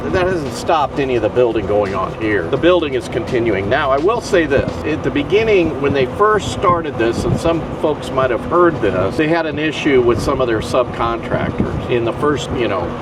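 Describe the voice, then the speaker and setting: A man talks at a moderate pace with hardly any pauses and very wide pitch swings. Noticeable background noise and audible room echo are present. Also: medium pitch for a man. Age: 60s. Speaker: resident of retirement community. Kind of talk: casual chat.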